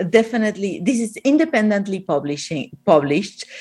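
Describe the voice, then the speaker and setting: A woman speaks with an Argentinian accent. Her intonation is lively. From Argentina. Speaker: author of a plant-based cookbook. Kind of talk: interview about her book. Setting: video call, remote from Miami.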